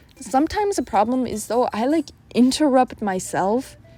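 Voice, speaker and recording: Music plays in the background as a woman speaks at a moderate pace. Her intonation is lively. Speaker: art YouTuber. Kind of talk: casual voiceover while drawing. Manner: self-interrupting, occasional stutter and dropped consonants.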